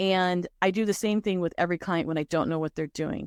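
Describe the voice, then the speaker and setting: In a very clean recording with a silent background, a woman's medium-pitched voice has ordinary pitch variation and a dry, close sound with no echo. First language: Spanish. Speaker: career coach / recruiter. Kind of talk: consultation interview.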